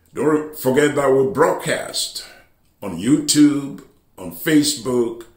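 A man is speaking with a quiet background. Room echo can be heard around his voice. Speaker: church bishop preacher. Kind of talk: sermon announcements.

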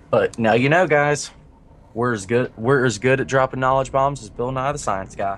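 Speaking at a moderate pace, a man with a normal speaking voice keeps a medium pitch and ordinary pitch variation. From US South. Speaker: esports caster. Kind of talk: live commentary.

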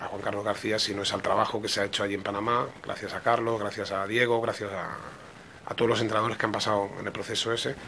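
Fairly low in pitch, a man speaks in a monotone, flat way. Light background noise sits behind him. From Catalonia, Spain. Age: 40s. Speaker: football coach. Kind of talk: interview. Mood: calm, reflective. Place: office. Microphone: podium.

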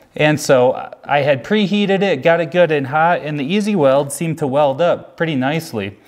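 A man at a moderate pace with ordinary pitch variation, quiet background. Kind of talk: casual vlog chat. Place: garage.

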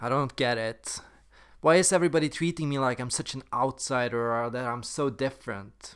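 With a quiet background, a man speaks at a moderate pace and ordinary pitch variation. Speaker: personality content creator. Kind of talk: comedic sketch acting, character monologues. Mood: playful, shifting character moods. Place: home room. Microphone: webcam.

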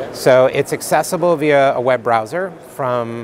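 There is light background noise as a man speaks, with a dry sound and no echo. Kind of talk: interview answer. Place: hall. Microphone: lapel.

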